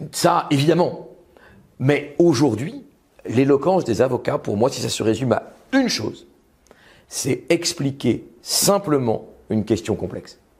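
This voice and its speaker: A man with a fairly high pitch and a somewhat breathy voice talks in an animated tone with lively intonation. His pace is fairly slow, with long, frequent pauses. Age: 50s. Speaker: lawyer and public speaking author. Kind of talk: talk to an audience.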